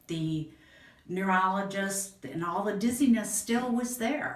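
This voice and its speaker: A woman with an American accent, very wide pitch swings and a fairly slow pace, amid audible room echo and noticeable background noise. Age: 60s. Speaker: patient. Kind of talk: testimony. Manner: halting.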